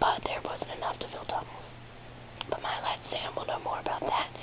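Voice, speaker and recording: Whispering at a fairly quick pace amid noticeable background noise. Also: woman. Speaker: ASMR whisper creator. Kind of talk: whispered book reading. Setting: recorded at home with rainstorm and thunder audible. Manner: whispered, soft-spoken.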